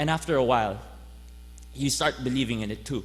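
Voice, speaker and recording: The room echo is audible as the words come at a fairly quick pace. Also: man. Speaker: graduating student speaker. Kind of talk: commencement speech. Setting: stage with audience.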